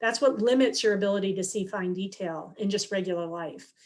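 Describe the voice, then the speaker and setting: An unremarkable speaking voice from a woman, medium in pitch with ordinary pitch variation, on a very clean recording against a silent background. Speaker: scientist giving a guest lecture. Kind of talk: lecture.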